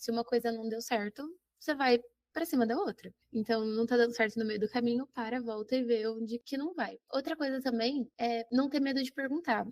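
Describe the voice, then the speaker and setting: Dry and close with no echo, a woman's voice sits at a high pitch. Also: ordinary pitch variation, moderate pace. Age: 20s. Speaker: geography teacher. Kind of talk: casual interview.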